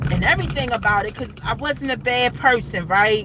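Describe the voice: A woman speaks at a moderate pace with a fairly high pitch and ordinary pitch variation. Background noise is clearly audible.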